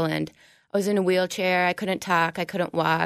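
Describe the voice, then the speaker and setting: In an Upper Midwest accent, a woman talks at a moderate pace and fairly low pitch. The recording is very clean, with a silent background. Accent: Upper Midwest (Minnesota). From Minnesota, New Prague. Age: 20s. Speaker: recovering addict. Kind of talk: testimony. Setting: studio.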